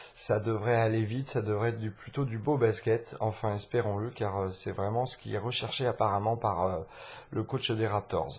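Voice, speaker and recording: A man speaks at a fairly low pitch and a moderate pace. His voice is somewhat breathy. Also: fairly even intonation. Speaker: sports podcast host. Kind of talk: live commentary. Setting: at home. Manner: soft-spoken; halting.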